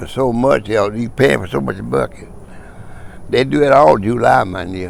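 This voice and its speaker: Over noticeable background noise, a man with an East Texas accent talks at a moderate pace in a fairly low pitch with very wide pitch swings. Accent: Southern US, East Texas. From East Texas, USA. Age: 80s+. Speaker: former farmer. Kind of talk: oral history interview answer.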